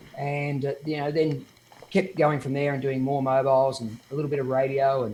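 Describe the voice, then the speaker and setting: In an Australian accent, a man speaks with a fairly high pitch. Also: fairly even intonation, fairly quick pace. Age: 50s. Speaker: DJ. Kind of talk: interview.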